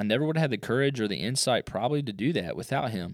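With lively intonation, a man speaks at a very fast pace in a dry, close sound with no echo on a very clean recording with a silent background. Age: 30s. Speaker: podcast host, entrepreneur. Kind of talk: casual solo podcast monologue. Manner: filler-heavy, conversational.

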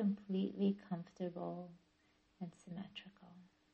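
This woman's voice sits fairly low and sounds somewhat breathy. Her tone is gentle and soothing. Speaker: yoga nidra teacher and therapist. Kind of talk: guided meditation. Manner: slow, soothing, calm; gentle, measured, with long pauses.

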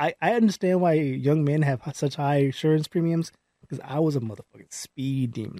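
A man with an American accent speaks at a fairly high pitch, with ordinary pitch variation and a dark, mellow tone. The sound is dry and close, with no echo. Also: moderate pace. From California, Palmdale. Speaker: podcast co-host. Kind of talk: casual chat.

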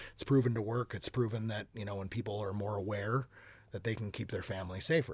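Somewhat breathy and in an Upper Midwest accent, the speaker talks at a very fast pace on a very clean recording with a silent background. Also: man, fairly low pitch for a man. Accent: Upper Midwest American. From Minnesota, US. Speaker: podcast guest, new father. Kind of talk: casual interview. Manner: energetic, animated.

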